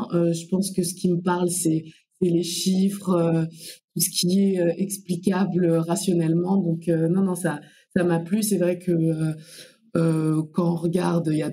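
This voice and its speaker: The voice is dark, mellow and somewhat breathy. It moves at a fairly slow pace in monotone, flat intonation. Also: woman. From Comoros. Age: 20s. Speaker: infrastructure finance professional. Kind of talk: podcast interview. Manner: hesitant, many fillers.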